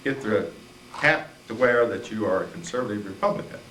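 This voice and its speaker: A man talks at a medium pitch amid audible room echo and noticeable background noise. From Indiana, Jasper County. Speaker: county party chairman and farmer. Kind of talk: panel talk to audience. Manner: halting.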